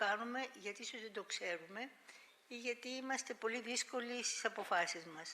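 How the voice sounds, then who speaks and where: With a Greek accent, a woman talks at a very fast pace. Her voice is fairly high, with a bright, sharp tone. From Greece. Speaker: health foundation president, professor. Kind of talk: panel talk.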